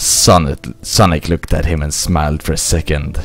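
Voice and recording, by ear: A man speaks at an extremely low pitch and a moderate pace. There is little pitch movement.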